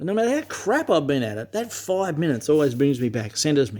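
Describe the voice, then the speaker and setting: Speaking at a very fast pace, a man with an Australian accent uses a fairly high pitch and very wide pitch swings. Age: 60s. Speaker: vlogger. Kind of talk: personal monologue to camera. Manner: emphatic, heavy swearing; halting with repetitions.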